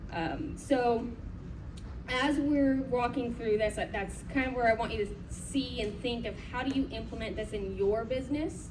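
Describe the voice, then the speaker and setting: A woman talks at a moderate pace with fairly high pitch and ordinary pitch variation. Noticeable background noise runs under her voice. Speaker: conference presenter. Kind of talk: conference presentation. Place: hall. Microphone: camera far.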